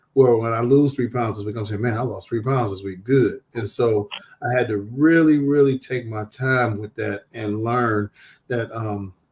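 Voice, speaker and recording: Here a man speaks with a medium pitch and fairly even intonation. His voice is somewhat breathy, at a moderate pace. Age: 50s. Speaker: social worker. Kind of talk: talk show interview.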